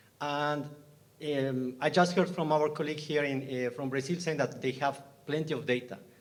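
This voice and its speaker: A man speaks at a moderate pace in a fairly high pitch, with ordinary pitch variation. He has a Bolivian accent. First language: Spanish. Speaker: scientist, audience member. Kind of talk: panel Q&A question. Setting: live webinar with in-room audience. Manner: halting, many repetitions.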